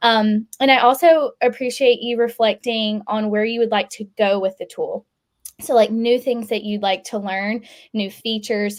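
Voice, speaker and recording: With a Southern US accent, a woman talks at a moderate pace, her fairly high pitch held in fairly even intonation. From US South, South Carolina. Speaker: customer success staff, event facilitator. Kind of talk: webinar Q&A facilitation.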